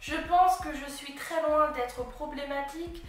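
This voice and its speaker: Noticeable background noise and audible room echo surround a woman whose high-pitched voice stays monotone and flat. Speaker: YouTuber. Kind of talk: vlog monologue.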